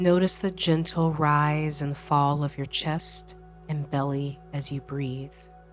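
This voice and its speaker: A calm, soothing, flat monotone at a very slow pace over background music. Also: woman, very deep, low pitch for a woman. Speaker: meditation guide, life coach, yoga instructor. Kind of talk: guided meditation. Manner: slow, calm, soothing.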